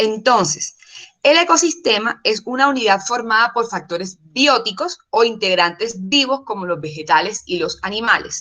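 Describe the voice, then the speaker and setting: This woman's voice sits at a fairly high pitch. Her pitch swings very widely. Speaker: course instructor. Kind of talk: online lecture. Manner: fast.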